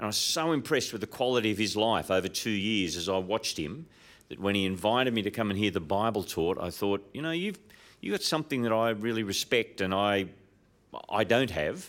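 Recorded very cleanly with a silent background, a man with an Australian accent talks at a fairly quick pace with a fairly low pitch and lively intonation. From Australia, Sydney. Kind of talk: interview. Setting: live recording before an audience.

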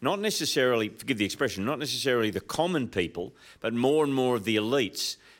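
A man speaks at medium pitch with an Australian accent. The recording is very clean, the background silent. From Australia, Sydney. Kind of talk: interview. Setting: live recording before an audience.

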